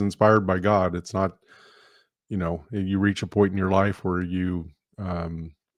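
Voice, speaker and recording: Over a quiet background, a man with an American accent speaks at a moderate pace in a very deep, low pitch with monotone, flat intonation. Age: 60s. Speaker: retired law enforcement officer. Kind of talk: testimony.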